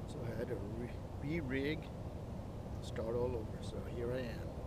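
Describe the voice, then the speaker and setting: Loud background noise fills this dry, echo-free recording of a man speaking at a moderate pace with ordinary pitch variation. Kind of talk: casual vlog chat. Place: boat. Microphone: camera far.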